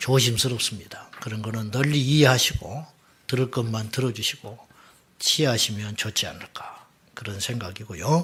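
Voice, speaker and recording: Speaking with a Jeolla accent, a man talks at a fairly slow pace and medium pitch with ordinary pitch variation. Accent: Jeolla dialect, still noticeable. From South Jeolla, Korea (Suncheon). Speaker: pastor. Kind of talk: seminar talk.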